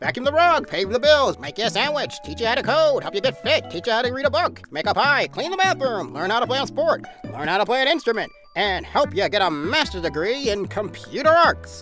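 Over clear music in the background, a man performs a cartoonish character voice, high-pitched, raised and projected, at a fairly quick pace. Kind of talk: comic overacting infomercial pitch. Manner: loud, fast, hyped.

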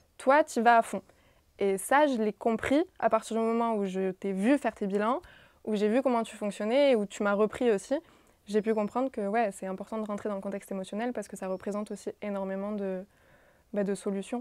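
A woman at a fairly high pitch with ordinary pitch variation and a fairly quick pace, against a quiet background in a dry sound with no echo. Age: 20s. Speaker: physiotherapy student intern. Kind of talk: casual chat. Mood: calm, reflective. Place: office. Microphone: lapel.

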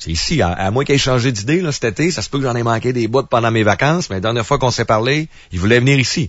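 In a quiet background with a dry sound and no echo, a man speaks at a very fast pace. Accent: Quebec. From Quebec. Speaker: radio commentator. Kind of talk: angry rant. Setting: radio studio. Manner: angry, indignant; fast, emphatic, ranting. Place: studio.

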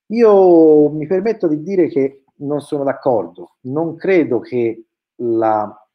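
A man with a plain, everyday voice, fairly high pitch, lively intonation and a fairly slow pace. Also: quiet background. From Tuscany, near Florence; Tuscany. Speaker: educational technology researcher. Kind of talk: webinar presentation. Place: home room. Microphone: webcam.

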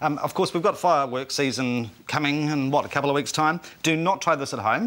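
He talks at a very fast pace. His voice sits fairly high for a man. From New Zealand. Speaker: TV show host. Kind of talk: TV panel discussion, host moderating. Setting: studio. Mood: jokey, light-hearted. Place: studio. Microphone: lapel.

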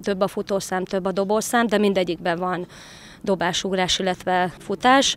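A woman speaks at a moderate pace in a dry sound with no echo. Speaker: athletics coach. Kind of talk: interview. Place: open country. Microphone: handheld.

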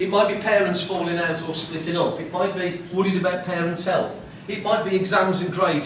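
A man's high voice at a fairly quick pace, with audible room echo and light background noise. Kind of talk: talk to children. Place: classroom. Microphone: camera far.

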